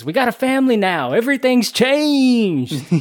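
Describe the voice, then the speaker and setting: Shouting in a put-on character voice, a man speaks at an extremely high pitch with lively intonation and a moderate pace. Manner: yelling, bizarrely overacted.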